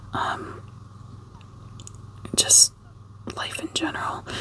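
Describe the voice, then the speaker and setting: Someone whispers with long, frequent pauses. Noticeable background noise sits behind the voice. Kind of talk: whispered ASMR ramble to camera. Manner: whispered, soft-spoken, rambling.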